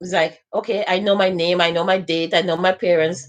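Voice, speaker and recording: A woman at medium pitch talks at a fairly quick pace with vocal fry. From Saint Vincent. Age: 40s. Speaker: social media live host. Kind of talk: casual live-stream talk. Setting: facebook live stream.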